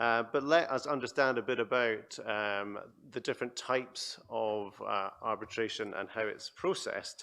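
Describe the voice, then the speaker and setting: With a Scottish accent, a man talks at a moderate pace and medium pitch. His tone is bright and sharp, and his pitch variation is ordinary. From Scotland. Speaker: panel moderator, arbitration centre chief executive. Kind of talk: conference panel moderation. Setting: conference stage with audience.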